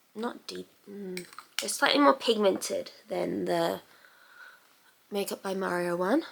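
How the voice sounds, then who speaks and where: A woman speaks at a fairly slow pace with long, frequent pauses and big swings in loudness, and there is noticeable background noise. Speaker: beauty youtuber. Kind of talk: tutorial. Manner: quieter than usual.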